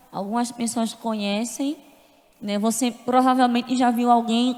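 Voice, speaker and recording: Fairly high in pitch with fairly even intonation, a woman speaks over noticeable background noise. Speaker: church member giving testimony. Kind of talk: testimony. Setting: church service.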